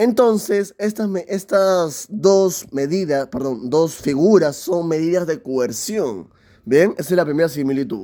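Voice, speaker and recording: This man speaks at a very slow pace. His intonation is lively. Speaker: law content creator. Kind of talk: lecture. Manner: halting.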